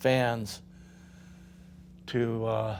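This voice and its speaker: Medium-pitched male speech with a Californian accent, flat and monotone. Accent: Californian American. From Southern California. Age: 80s+. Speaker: company founder. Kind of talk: interview storytelling. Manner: halting, many fillers.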